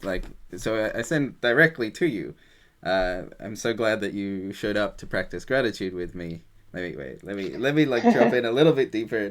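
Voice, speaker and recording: His fairly low voice moves at a moderate pace with lively intonation and big swings in loudness. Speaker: gratitude practice facilitator. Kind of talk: guided practice conversation. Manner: halting; voice quivers when speaking vulnerably.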